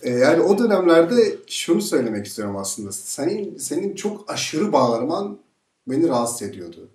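Over a quiet background with audible room echo, a man talks at a moderate pace in a fairly high pitch, his voice making very wide pitch swings. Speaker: journalist. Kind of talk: interview host questions. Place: studio.

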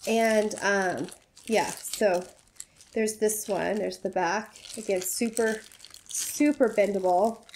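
At a very slow pace with long, frequent pauses, a woman speaks at a fairly high pitch over noticeable background noise. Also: fairly even intonation. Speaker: YouTuber. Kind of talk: casual chat. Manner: friendly, chatty.

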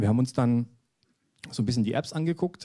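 With a dark, mellow tone, a man talks at a medium pitch. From Saxony (Dresden). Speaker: app agency founder presenting a startup. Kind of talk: conference talk. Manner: hesitant, many filler sounds.

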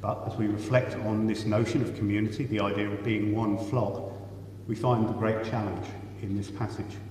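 The recording has audible room echo. Light background noise is also present. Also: moderate pace. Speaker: priest leading the service. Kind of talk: church liturgy and sermon. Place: church. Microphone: camera far.

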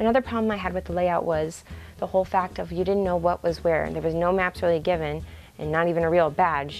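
Faint music plays in the background as a woman speaks at a very fast pace. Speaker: convention photographer and reviewer. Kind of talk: casual talk to camera. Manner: stuttering, halting. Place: home room. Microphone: lapel.

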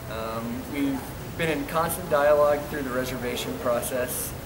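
This man talks at a moderate pace. Background noise is noticeable behind him. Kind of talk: testimonial interview answer. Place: home room. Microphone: camera far.

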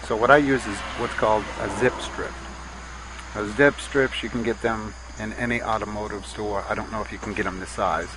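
A man talks at a fairly quick pace, his voice dry with no echo over noticeable background noise. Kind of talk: tutorial.

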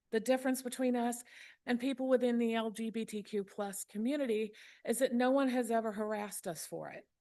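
A woman with a Mississippi accent speaks at a fairly quick pace in a fairly high voice, with fairly even intonation. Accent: Mississippi Southern. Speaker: public commenter. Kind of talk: public comment speech.

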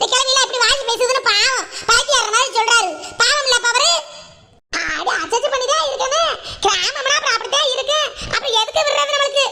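In a cartoonish character voice, a female-sounding voice talks at a moderate pace with an extremely high pitch. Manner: chatty, grumbling.

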